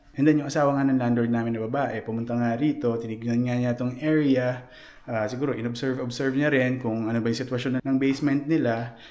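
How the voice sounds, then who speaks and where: A soft-spoken man at a very fast pace, medium pitch and flat, monotone intonation, with audible room echo. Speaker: vlogger. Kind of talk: casual vlog. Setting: basement at home.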